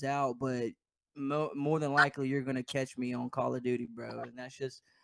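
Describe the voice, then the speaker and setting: A man with a Louisiana accent and a fairly high pitch speaks at a moderate pace in a monotone, flat intonation. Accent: Southern US (Louisiana). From US South (Denham Springs, Louisiana). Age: 20s. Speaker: gaming podcast co-host, esports player. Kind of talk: casual chat.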